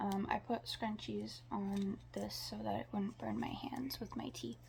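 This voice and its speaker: A woman talking at a fairly slow pace over noticeable background noise. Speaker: podcaster vlogger. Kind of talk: casual monologue vlog. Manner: halting, stutters, many fillers.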